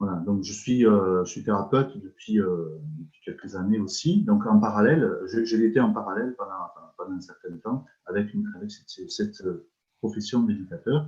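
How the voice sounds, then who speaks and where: Here a man with a fairly low, dark, mellow voice speaks at a moderate pace, with ordinary pitch variation and big swings in loudness. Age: 60s. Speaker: energy healer, retired social worker. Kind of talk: interview. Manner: halting, many repetitions and hesitations.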